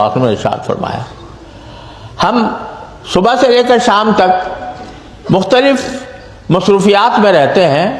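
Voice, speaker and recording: This is a man's voice. There is noticeable noise in the background. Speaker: Islamic scholar giving a sermon. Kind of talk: religious sermon to a mosque audience. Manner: calm, measured, earnest.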